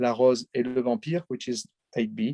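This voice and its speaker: In a French accent, a man talks at a very slow pace with a dark, mellow tone. The sound is dry and close, with no echo. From France, the Alps. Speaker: film director. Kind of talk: interview. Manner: halting, many hesitations.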